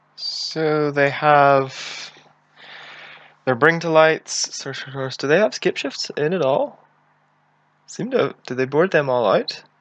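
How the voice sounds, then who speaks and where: Speaking very slowly with long, frequent pauses, a man with a Northern Irish accent uses a fairly high pitch and ordinary pitch variation. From Northern Ireland. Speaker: game streamer. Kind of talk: live gameplay commentary. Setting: live stream.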